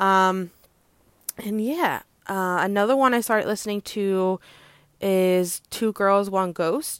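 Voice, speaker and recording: The recording is very clean, with a silent background. A woman's voice is heard. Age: 20s. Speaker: podcast host, optician. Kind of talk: casual solo monologue. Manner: hesitant with many fillers.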